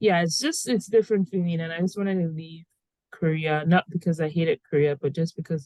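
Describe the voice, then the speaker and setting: Speaking at a fairly quick pace with a Nigerian accent, a woman has a fairly low pitch and a dark, mellow tone, heard in a dry, close sound with no echo. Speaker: podcast host. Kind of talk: casual chat.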